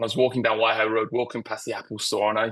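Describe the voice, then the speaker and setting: A man with a British accent speaks at a medium pitch against a quiet background. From England. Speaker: creative director. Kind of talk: interview. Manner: halting, many fillers.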